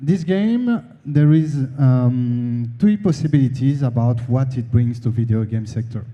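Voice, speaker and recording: In a strong French accent, a man talks at a fairly slow pace, somewhat breathy, with a dark, mellow tone and audible room echo. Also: medium pitch for a man, ordinary pitch variation. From France. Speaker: conference speaker on the video game industry. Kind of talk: conference presentation. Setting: stage with audience. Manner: halting, many fillers.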